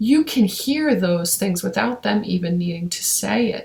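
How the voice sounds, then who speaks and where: A woman speaks in a somewhat breathy voice. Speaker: intuitive reader. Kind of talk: spiritual daily message. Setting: at home, kids watching TV. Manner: casual, filler-heavy.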